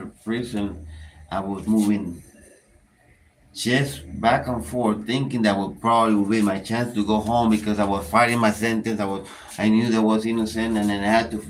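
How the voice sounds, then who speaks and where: Speaking with a Spanish accent, a man uses a fairly low pitch with ordinary variation at a moderate pace, with audible room echo. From Panama. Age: 30s. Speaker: prison inmate, channel creator. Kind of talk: casual chat.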